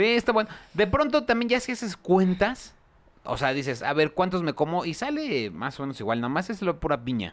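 A man talks at a fairly quick pace in a high pitch. His tone is animated, with very wide pitch swings. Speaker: podcast host. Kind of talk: casual chat.

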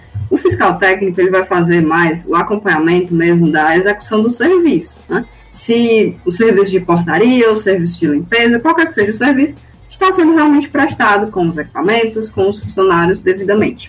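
With music in the background, a woman at medium pitch talks at a fairly quick pace and very even loudness. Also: lively intonation. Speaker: public institution administrative assistant. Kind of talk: radio interview. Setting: studio.

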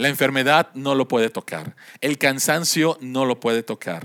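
The sound is close and dry, without echo. A man's voice moves at a moderate pace. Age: 50s. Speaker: pastor. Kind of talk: sermon.

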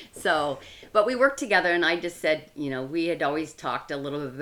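Against a silent background in a very clean recording, the speech moves at a fairly quick pace with ordinary pitch variation. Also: woman. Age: 60s. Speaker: amateur bodybuilder. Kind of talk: casual chat.

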